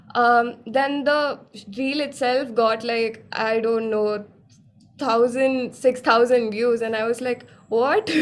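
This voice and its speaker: A woman's high pitch at a very slow pace, with fairly even intonation. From Kerala, India. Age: young. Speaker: singer-songwriter. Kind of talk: interview answer. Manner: casual, chatty.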